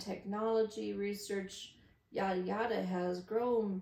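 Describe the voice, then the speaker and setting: Speaking very slowly, a woman of medium pitch keeps a monotone, flat intonation against audible room echo. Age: 50s. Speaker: vlogger. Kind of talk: casual monologue. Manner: rambling.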